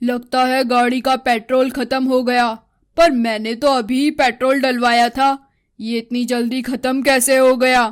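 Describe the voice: On a very clean recording with a silent background, a woman uses a cartoonish character voice at a high pitch. She keeps a moderate pace and a monotone, flat intonation.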